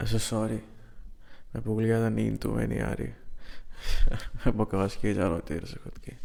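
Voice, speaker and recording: A man with big swings in loudness and hardly any pauses. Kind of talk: boyfriend roleplay ASMR.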